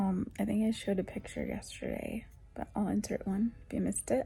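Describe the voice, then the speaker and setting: A soft-spoken woman at a moderate pace. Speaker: lifestyle vlogger. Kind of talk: casual vlog chat.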